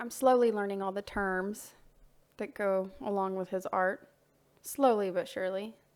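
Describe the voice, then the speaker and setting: A woman's medium-pitched voice with fairly even intonation, in a very clean recording with a silent background. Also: moderate pace. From US South. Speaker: voice-over narrator, artist's wife. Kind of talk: casual narration. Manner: chatty, with hesitations.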